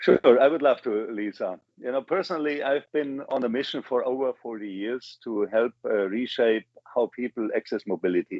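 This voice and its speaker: Sounding enthusiastic, a man with a German accent speaks at a moderate pace in a medium-pitched voice with ordinary pitch variation. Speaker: business executive. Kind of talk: interview.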